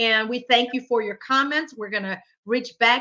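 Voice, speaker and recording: A woman speaks with a Spanish accent, her tone bright and sharp and her pitch fairly high. Her pace is moderate and the background is quiet. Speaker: talk show host. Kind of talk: casual chat.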